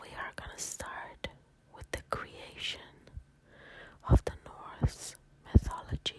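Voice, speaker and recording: Whispering in a calm tone, a man speaks very slowly with long, frequent pauses and big swings in loudness over noticeable background noise. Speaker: ASMR content creator. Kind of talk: soft-spoken ASMR bedtime story reading. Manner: soft-spoken, whispering, calm.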